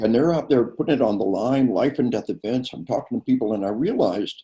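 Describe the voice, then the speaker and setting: The pace here is fairly quick. A dark, mellow tone colors the voice. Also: man. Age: 60s. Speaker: retired army officer and author. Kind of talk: interview. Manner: halting.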